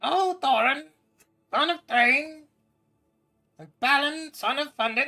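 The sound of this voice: A put-on character voice, high and croaky, at a fairly slow pace with long, frequent pauses and faint music in the background.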